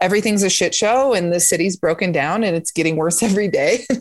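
A woman speaks at a fairly quick pace with a medium pitch and ordinary pitch variation. The recording is very clean, with a silent background. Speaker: comedian. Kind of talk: casual chat. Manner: animated.

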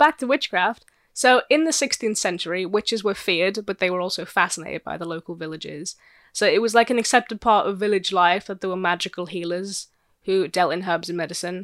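Recorded with a dry, close sound with no echo, this is an ordinary speaking voice. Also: woman, medium pitch for a woman, ordinary pitch variation, fairly quick pace. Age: 20s. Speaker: podcast co-host. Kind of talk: casual chat.

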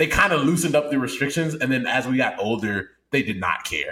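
A man with a fairly high pitch speaks in an animated tone. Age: 20s. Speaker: podcast co-host. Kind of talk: casual chat.

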